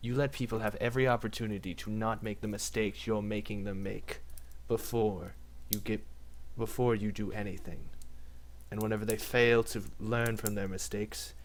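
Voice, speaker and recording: Over clear background noise, a man uses a put-on character voice with a menacing tone at a moderate pace. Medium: actual play. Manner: measured, menacing.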